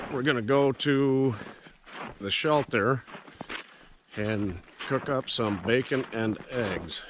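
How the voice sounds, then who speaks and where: A man speaks at a medium pitch and a very slow pace, with ordinary pitch variation. Noticeable background noise is present. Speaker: outdoors vlogger. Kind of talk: casual vlog narration. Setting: outdoors in the woods. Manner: casual, hesitant with fillers.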